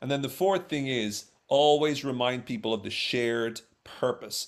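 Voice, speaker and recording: This is a man speaking. He has a Dublin accent. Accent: Irish (Dublin). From Ireland, Dublin. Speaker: social psychologist and speaker. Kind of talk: interview on workplace communication.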